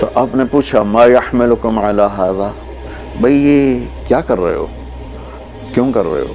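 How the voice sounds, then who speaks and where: The man's medium-pitched voice is heard with music playing behind it. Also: ordinary pitch variation. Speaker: Islamic preacher. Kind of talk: religious sermon (bayan) to an audience. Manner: emotional, preaching, conversational.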